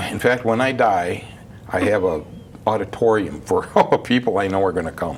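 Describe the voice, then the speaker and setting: Over noticeable background noise, a man with an American accent talks at a fairly quick pace in a fairly low-pitched voice. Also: ordinary pitch variation. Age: 70s. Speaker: barber shop owner. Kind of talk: casual interview.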